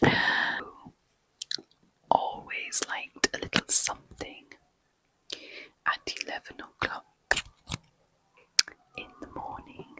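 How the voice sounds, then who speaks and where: Whispering, the speaker goes at a very slow pace. Long pauses come often. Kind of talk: ASMR bedtime story reading. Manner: whispered, soft-spoken.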